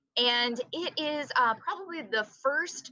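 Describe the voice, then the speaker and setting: With a slight Southern US accent, a woman speaks in a bright, sharp tone and lively intonation. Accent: slight Southern twang. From US Southeast. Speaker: computer science teacher. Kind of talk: tutorial. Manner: animated.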